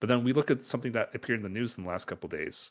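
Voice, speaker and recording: With a Canadian accent and an unremarkable speaking voice, a man talks at a medium pitch with lively intonation in a very clean recording with a silent background. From Canada. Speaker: podcast co-host. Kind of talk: casual chat.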